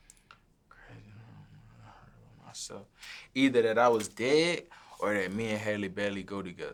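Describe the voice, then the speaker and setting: A man with a New Orleans accent talks at a moderate pace in a fairly low voice. His loudness swings a lot, while his pitch varies in an ordinary way. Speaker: recording artist. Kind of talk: interview answer. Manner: casual, relaxed.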